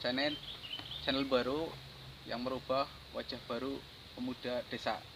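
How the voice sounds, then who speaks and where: This man's voice sits at a medium pitch and stays monotone and flat. He keeps a moderate pace, with long, frequent pauses. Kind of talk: casual interview host talk.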